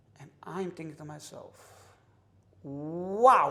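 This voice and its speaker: Very slowly, a man talks with an American accent. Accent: New York Hasidic English. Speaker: kosher industry insider. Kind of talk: casual interview chat. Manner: loud; animated.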